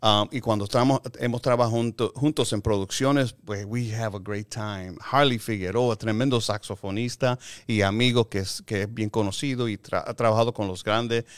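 A man's voice at a moderate pace with fairly even intonation against a quiet background. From Chicago, Puerto Rican family. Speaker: film composer and music producer; guest. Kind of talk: casual interview. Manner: halting, mixing Spanish and English. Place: meeting room. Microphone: studio mic.

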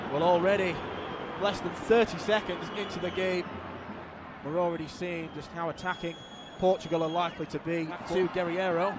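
Long, frequent pauses break up this man's animated, high-pitched speech, with noticeable background noise behind him. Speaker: football commentator. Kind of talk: live football commentary. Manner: fast, clipped, running play-by-play; animated, excitable.

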